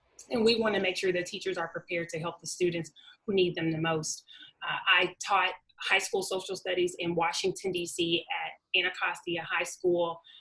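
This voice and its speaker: A woman with a Southern US accent, fairly low pitch, monotone, flat intonation and a moderate pace. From Arkansas, US South, small town. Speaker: webinar presenter, doctoral researcher, former teacher. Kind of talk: webinar presentation. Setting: online webinar.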